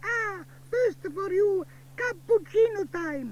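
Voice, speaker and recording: A man puts on a character voice with an extremely high pitch. He talks at a very slow pace over clear background noise. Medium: read story. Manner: warm, emphatic.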